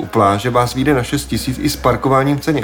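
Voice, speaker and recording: Noticeable background noise behind a man at medium pitch and a fairly quick pace. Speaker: podcast host. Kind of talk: scripted narration.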